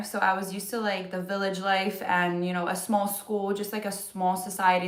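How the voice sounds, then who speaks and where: A woman with a Polish accent, amid noticeable background noise and audible room echo. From Poland (moved to US at ten). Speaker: vlogger. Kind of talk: casual livestream chat.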